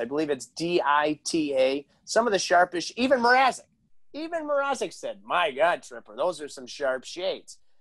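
A man's animated voice at a moderate pace, with very wide pitch swings and big swings in loudness, against a quiet background. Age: 40s. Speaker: hockey broadcaster and podcast host; podcast host. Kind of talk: casual interview chat. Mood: jovial, storytelling. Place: home room.

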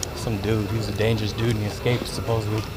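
Very fast talking from a man beneath loud background noise. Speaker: travel vlog host. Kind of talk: casual vlog chat. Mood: joking, playful. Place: street. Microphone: phone near.

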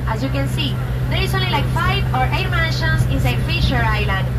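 A woman talks at a moderate pace amid loud background noise. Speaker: bilingual boat tour guide. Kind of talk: tour guide commentary. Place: boat.

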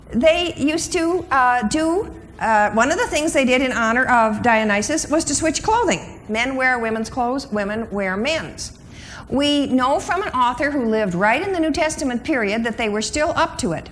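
Intonation is lively throughout. Light background noise can be heard. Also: woman, high pitch for a woman, moderate pace. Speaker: conference speaker. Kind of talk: lecture. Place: hall. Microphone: lapel.

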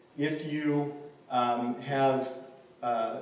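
A man with an American accent speaks at medium pitch, with audible room echo and light background noise. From US Midwest, farm family in Kansas. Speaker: law professor. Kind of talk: conference talk. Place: hall. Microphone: podium.

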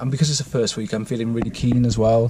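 A man with a somewhat breathy voice is recorded dry with no echo, with noticeable background noise behind him. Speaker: runner vlogger. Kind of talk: casual vlog chat. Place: car. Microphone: phone near.

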